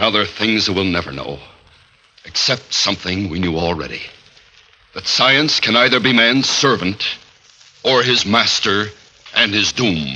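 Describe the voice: In a put-on character voice with a bright, sharp tone and lively intonation, a man speaks at a fairly low pitch and a fairly slow pace, with long, frequent pauses and audible room echo.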